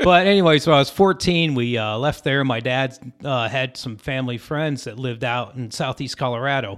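An ordinary speaking voice belongs to a man with an American accent at a medium pitch. He moves at a fairly quick pace with ordinary pitch variation. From Syracuse, New York. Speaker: pedal steel guitarist. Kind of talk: casual chat. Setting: rehearsal studio.

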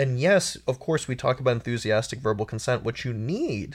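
A somewhat breathy man at a medium pitch, talking at a fairly quick pace. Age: 30s. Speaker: sex columnist and author. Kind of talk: casual chat.

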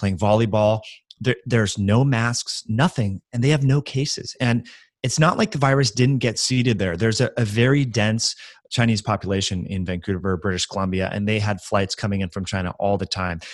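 A man speaks in an unremarkable speaking voice with a fairly low pitch and ordinary pitch variation. His pace is moderate, in a very clean recording with a silent background. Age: 30s. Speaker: functional medicine educator. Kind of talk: interview.

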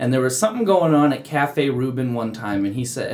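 Noticeable background noise accompanies a man talking fairly quickly at a medium pitch. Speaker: podcast co-host. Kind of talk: casual interview chat.

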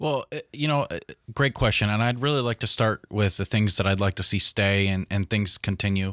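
A man with an American accent talks at a fairly quick pace in an ordinary speaking voice, fairly low in pitch with ordinary pitch variation. The sound is dry and close with no echo, and the recording is very clean with a silent background. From upstate New York. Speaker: city councilman and mental health therapist. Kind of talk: interview.

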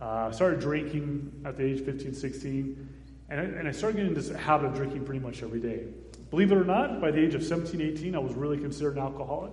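Speaking at a very fast pace with an American accent, a man with a fairly high pitch and ordinary pitch variation is heard over noticeable background noise and audible room echo. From US Southwest, Phoenix, Arizona. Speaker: missionary, founder of a children's charity. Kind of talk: testimony in a church service.

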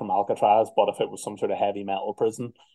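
Someone speaks with a Northern Irish accent in a dark, mellow tone. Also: man. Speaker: metal band musician. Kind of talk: interview. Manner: casual.

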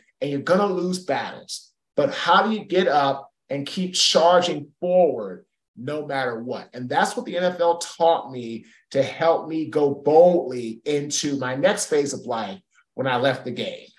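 A man's unremarkable speaking voice, fairly high in pitch, with lively intonation at a fairly slow pace. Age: 40s. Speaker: keynote speaker and former football player. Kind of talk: interview.

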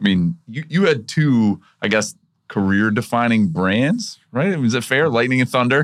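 Speaking at a moderate pace against a quiet background, a man with a normal speaking voice uses lively intonation at a medium pitch. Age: 40s. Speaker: podcast host. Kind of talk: casual interview.

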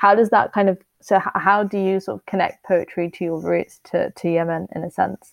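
In an ordinary speaking voice, a woman talks at a moderate pace and medium pitch with fairly even intonation, the sound dry and close with no echo over a quiet background. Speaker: podcast host. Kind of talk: interview.

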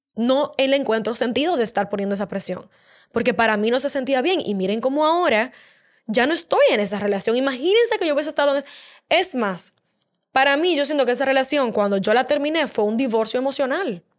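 A woman with a high pitch moves at a fairly quick pace, her intonation lively. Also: very clean recording, silent background. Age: 20s. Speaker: podcast host. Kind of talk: motivational monologue.

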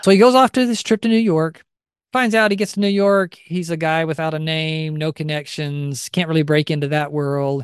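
The background is quiet, and the sound is dry and close with no echo. A man with an ordinary speaking voice and a fairly high pitch speaks at a moderate pace with ordinary pitch variation. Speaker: podcast co-host. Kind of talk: casual chat and storytelling.

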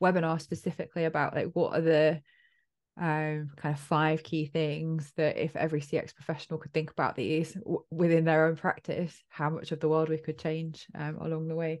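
A woman with a southern English accent, a very deep, low pitch, and monotone, flat intonation at a fairly quick pace. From Essex, England. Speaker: podcast host. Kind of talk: casual interview conversation.

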